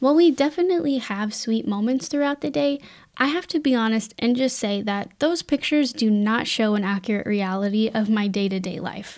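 With an unremarkable speaking voice, a woman talks at a fairly high pitch and a fairly quick pace, with lively intonation and hardly any pauses. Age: 20s. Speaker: podcast host. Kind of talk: solo podcast monologue, inspirational.

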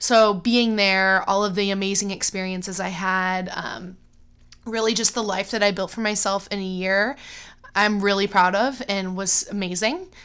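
A woman with an American accent has an unremarkable speaking voice at medium pitch. She keeps a moderate pace and fairly even intonation. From US Midwest, Cleveland, Ohio. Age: 20s. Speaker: middle school teacher. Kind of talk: casual chat.

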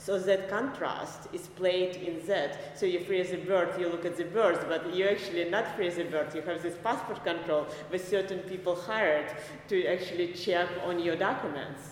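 Noticeable background noise sits behind a woman with an Eastern European accent whose fairly low pitch follows fairly even intonation. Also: moderate pace. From Belarus. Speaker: visual artist. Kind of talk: casual interview. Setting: podcast interview. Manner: halting, with fillers.

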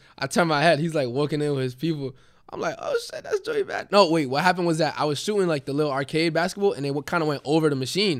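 Speaking very fast with a New York accent, a man shows ordinary pitch variation in a very clean recording with a silent background. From Queens, New York. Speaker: musician. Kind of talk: interview.

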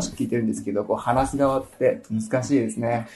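A man's dark, mellow tone, lively in intonation and fairly quick in pace. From Japan, Nagano. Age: 20s. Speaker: English school consultant. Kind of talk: casual interview. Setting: recorded at a language school branch.

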